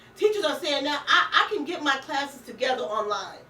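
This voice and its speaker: Over noticeable background noise, a woman uses a raised, projected voice with a high pitch and an animated tone. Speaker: radio talk show host. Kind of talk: casual political chat. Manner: stammering when agitated.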